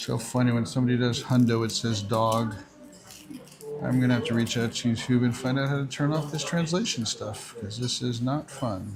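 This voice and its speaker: A man with an American accent speaks at a medium pitch and a moderate pace. His pitch variation is ordinary, with noticeable background noise behind him. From New York area, northern New Jersey. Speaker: Pokémon GO livestreamer. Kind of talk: live stream chat. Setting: restaurant.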